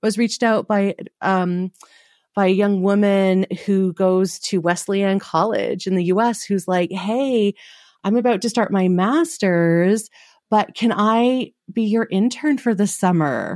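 An ordinary speaking voice talks at a fairly slow pace with ordinary pitch variation and very even loudness, on a very clean recording with a silent background. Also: woman, medium pitch for a woman. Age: 40s. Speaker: body image coach and podcaster. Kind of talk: casual chat.

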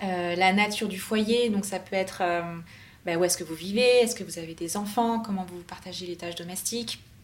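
A woman with an ordinary speaking voice talks at a medium pitch and a moderate pace. Her intonation is fairly even, with big swings in loudness. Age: 30s. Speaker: expat sharing visa experience. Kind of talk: interview testimony.

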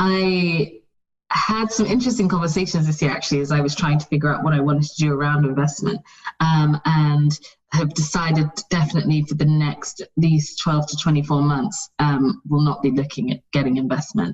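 This woman talks at a moderate pace with a British accent, her voice very deep and low in pitch, with ordinary pitch variation. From UK, with childhood in Saudi Arabia, Nigeria and US. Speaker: fashion brand founder. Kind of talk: interview. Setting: remote call.

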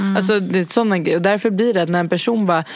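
Ordinary pitch variation comes through above noticeable background noise. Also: woman. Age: 20s. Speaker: podcast host. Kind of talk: casual chat.

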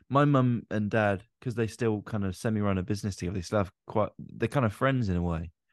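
Over a quiet background, a man talks at a fairly quick pace in a fairly low pitch with ordinary pitch variation, an unremarkable speaking voice in a dry, close sound with no echo. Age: 20s. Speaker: podcast host and comedian. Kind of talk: casual chat.

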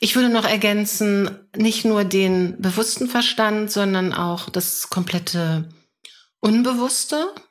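A woman at a medium pitch with ordinary pitch variation, a very slow pace and very even loudness. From Germany, Hannover. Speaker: mental coach. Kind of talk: interview.

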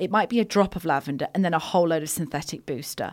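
Speaking very fast with lively intonation, a woman with an English accent and fairly low pitch is heard on a very clean recording with a silent background. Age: 40s. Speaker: wellbeing brand founder. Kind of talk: casual chat.

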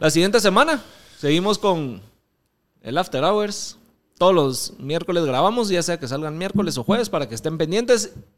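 A man with a Guatemalan accent, high-pitched, lively in intonation, at a moderate pace. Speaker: podcast host. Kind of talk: casual chat.

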